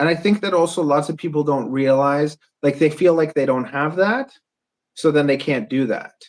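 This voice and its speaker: A man with a Canadian accent has an unremarkable speaking voice, pitched fairly high. He talks at a moderate pace with ordinary pitch variation. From Canada. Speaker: podcast host and drone builder. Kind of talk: casual podcast conversation.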